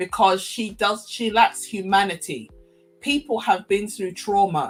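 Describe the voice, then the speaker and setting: Using a normal speaking voice, a woman talks at a fairly slow pace in a medium pitch. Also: ordinary pitch variation. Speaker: podcast host. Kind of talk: live-stream commentary. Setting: live stream.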